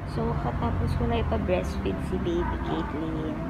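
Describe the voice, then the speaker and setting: A woman is speaking. Loud background noise is heard behind her. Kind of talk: casual vlog chat. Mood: worried before labor. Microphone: phone near.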